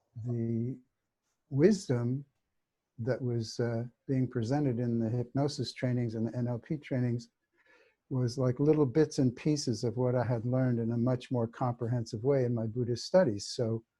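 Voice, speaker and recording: A man's medium-pitched voice, somewhat breathy with a dark, mellow tone, fairly even in intonation and moderate in pace, over a quiet background. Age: 70s. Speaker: hypnotherapist and teacher. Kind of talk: interview. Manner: halting, many fillers.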